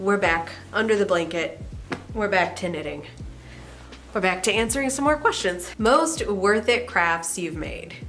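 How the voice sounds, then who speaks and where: Lively intonation at a fairly slow pace, long, frequent pauses, and music in the background. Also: woman, medium pitch for a woman. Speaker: knitting and sewing vlogger. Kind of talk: casual talk to camera. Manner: cozy, relaxed.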